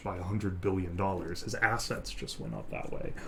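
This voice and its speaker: Noticeable background noise runs under a man who keeps a moderate pace and shows ordinary pitch variation. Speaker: live streamer. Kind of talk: ASMR live stream talk. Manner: whispered.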